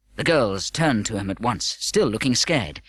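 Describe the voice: Speaking at a moderate pace, a man has a fairly low pitch, a fairly bright tone, a slightly husky edge and lively intonation.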